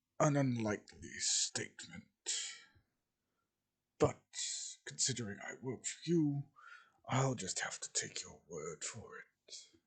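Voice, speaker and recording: Leaving long, frequent pauses, a man performs in a put-on character voice. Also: fairly slow pace. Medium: read story. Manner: terse, gruff.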